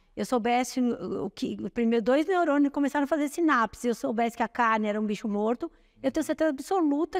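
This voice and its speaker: Lively intonation comes through at a very fast pace in a dry, close sound with no echo. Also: woman. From Brazil, São Paulo. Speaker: nutritionist. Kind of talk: interview.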